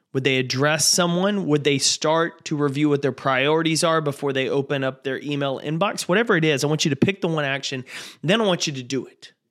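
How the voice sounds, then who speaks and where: With a warm, animated tone, a man speaks at a fairly quick clip in a fairly high pitch, using ordinary pitch variation and hardly pausing at all. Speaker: podcast host and motivational speaker. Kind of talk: motivational pep talk. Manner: warm, urgent, coaching tone; rallying and direct address; animated, upbeat and encouraging.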